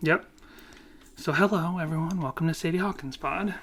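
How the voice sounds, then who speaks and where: A high-pitched man with an American accent, a bright, sharp tone, ordinary pitch variation and a fairly quick pace. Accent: Boston accent, comes back after visits. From Boston area, US Northeast. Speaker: podcast co-host. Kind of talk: casual chat.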